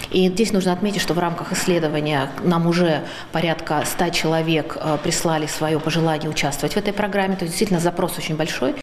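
Light background noise sits behind a woman speaking very fast. Her pitch is fairly low and her intonation fairly even. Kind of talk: interview answer. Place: classroom.

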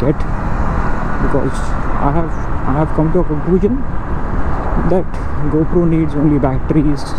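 A fairly quick pace in a dry sound with no echo, over loud background noise. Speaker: motovlogger. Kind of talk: casual vlog chat. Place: motorbike. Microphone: lapel.

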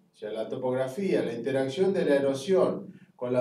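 A man speaks with ordinary pitch variation, and audible room echo surrounds his voice. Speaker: university geology lecturer. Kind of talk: lecture.

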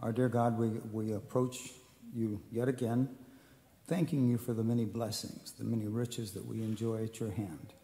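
A man speaks in a dark, mellow tone at a medium pitch. His pace is moderate and his intonation fairly even. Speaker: church member leading prayer. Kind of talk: prayer. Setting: church. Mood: reverent, calm. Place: church. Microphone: podium.

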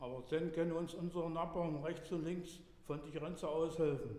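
Audible room echo surrounds a man's high-pitched voice, dark and mellow in tone. He speaks at a fairly slow pace. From Dessau, Saxony-Anhalt. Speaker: dialect storyteller. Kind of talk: dialect story reading. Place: church.

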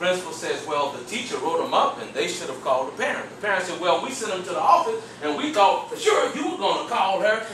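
A man is speaking, with audible room echo. Light background noise sits behind him. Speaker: workshop trainer. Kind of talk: training talk with storytelling. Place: meeting room. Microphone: camera far.

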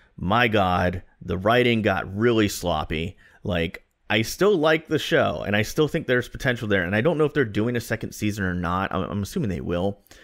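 A man talks at a moderate pace with a fairly low pitch. The background is quiet. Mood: relaxed, upbeat. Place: home room. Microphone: studio mic.

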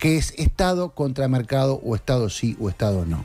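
A man talks in a Uruguayan accent over faint music in the background. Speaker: journalist and news director; journalist, news director. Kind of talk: political commentary on a radio show. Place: studio. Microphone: studio mic.

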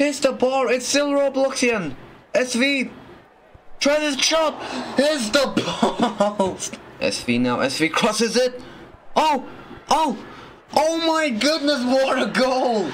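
Speech comes at a very slow pace with long, frequent pauses and ordinary pitch variation, over noticeable background noise. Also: man, extremely high pitch for a man. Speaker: sports commentator. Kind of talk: live commentary on a Roblox football match. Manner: animated, exclaiming and laughing at goals.

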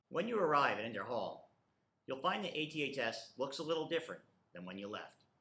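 Audible room echo surrounds a man with vocal fry who talks at a moderate pace. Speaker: school principal. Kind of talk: welcome address. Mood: calm, reassuring. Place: office.

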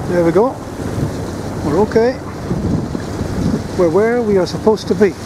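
A man at a fairly quick pace, ordinary pitch variation, noticeable background noise, and a dry sound with no echo. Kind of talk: casual vlog chat. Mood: relaxed, lightly humorous. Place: boat. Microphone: phone near.

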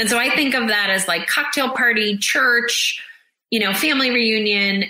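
A woman with an American accent and an unremarkable speaking voice talks at a moderate pace with a fairly high pitch. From US Northeast, Boston. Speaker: psychotherapist. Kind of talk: interview about grief.

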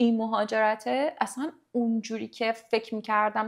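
A woman's fairly high voice over a quiet background. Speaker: podcast guest, life coach on manifestation. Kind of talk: casual interview chat. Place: studio. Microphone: studio mic.

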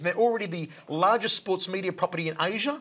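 Bright and sharp in tone, a man with an Australian accent and high pitch speaks at a fairly quick pace with ordinary pitch variation. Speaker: combat sports commentator. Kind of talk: casual chat. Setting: studio. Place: studio. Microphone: lapel.

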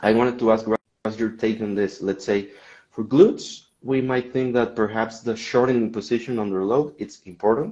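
A man speaks at a moderate pace with a dark, mellow tone. The background is quiet. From Mexico. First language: Spanish. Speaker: podcast host. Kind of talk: casual interview. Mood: friendly, relaxed. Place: home room. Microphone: video call.

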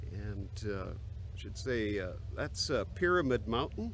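A very slow male voice with vocal fry and very wide pitch swings, dry with no echo, over light background noise. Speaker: pastor. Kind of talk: casual vlog chat. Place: open country. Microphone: phone near.

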